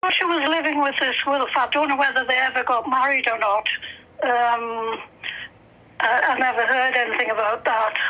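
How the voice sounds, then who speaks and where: Over noticeable background noise, a woman with a high pitch talks at a moderate pace, with very even loudness and fairly even intonation. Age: 80s+. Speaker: relative interviewed about family history. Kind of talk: casual chat. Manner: halting.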